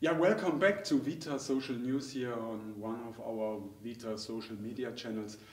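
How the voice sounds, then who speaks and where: A man with a German accent talks at a moderate pace with ordinary pitch variation, and the room echo is audible. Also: big swings in loudness. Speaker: dental technical trainer. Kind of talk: interview. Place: studio.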